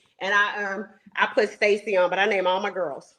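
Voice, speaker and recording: An American-accented woman speaks at a very fast pace. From Houston, Texas. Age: 40s. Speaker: caller on dating show, realtor and comedian. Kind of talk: casual chat.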